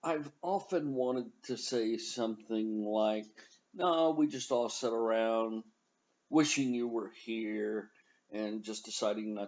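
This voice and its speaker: A man talks at a fairly slow pace with a medium pitch and ordinary pitch variation. It is a plain, everyday voice. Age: 60s. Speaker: college instructor. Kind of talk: tutorial. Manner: casual, conversational.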